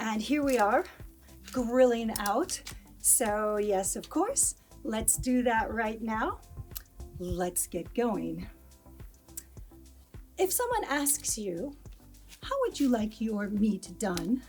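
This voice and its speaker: With music in the background, a woman with an American accent speaks at a fairly high pitch and a very slow pace. Her intonation is lively, and she takes long, frequent pauses. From United States. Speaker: English teacher. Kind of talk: English lesson to camera.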